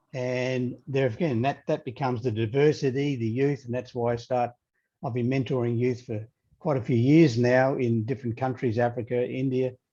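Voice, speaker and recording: With an Australian accent and a dark, mellow tone, a man of medium pitch speaks at a moderate pace with fairly even intonation against a quiet background. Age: 30s. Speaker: leadership coach. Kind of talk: interview.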